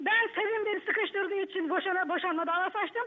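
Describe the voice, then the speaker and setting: A woman with an extremely high pitch speaks against a quiet background. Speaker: aunt of a family member. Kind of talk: heated debate. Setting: phone call. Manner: emotional. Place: studio. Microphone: lapel.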